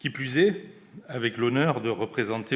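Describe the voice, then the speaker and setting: A man talks with a southwestern French accent. His pitch is medium. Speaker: senior government official. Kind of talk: closing speech. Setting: conference with audience. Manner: formal.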